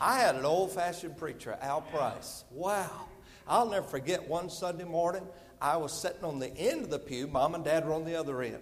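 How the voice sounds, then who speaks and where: A man's high-pitched voice with a Southern US accent, at a fairly quick pace, with audible room echo. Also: ordinary pitch variation. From US South. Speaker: visiting evangelist preacher. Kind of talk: sermon. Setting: church service.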